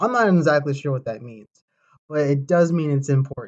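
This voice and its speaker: Somewhat breathy, a man talks at a very fast pace in a fairly high pitch. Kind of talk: informal presentation. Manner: halting, many fillers.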